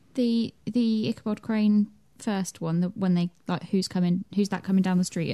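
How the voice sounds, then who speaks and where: A woman speaks at a fairly quick pace in a medium pitch with fairly even intonation. Her tone is dark and mellow, and somewhat breathy. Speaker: podcast co-host. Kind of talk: casual chat.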